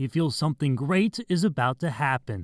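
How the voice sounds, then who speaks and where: A man with a fairly high pitch speaks in a normal speaking voice. The sound is dry and close, with no echo. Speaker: TV sports anchor and reporter. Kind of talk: TV sports news reporting.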